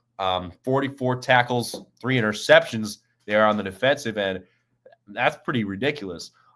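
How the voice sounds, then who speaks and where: Recorded very cleanly against a silent background, a man of medium pitch speaks at a moderate pace. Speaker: college football show host. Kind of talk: live stream sports talk.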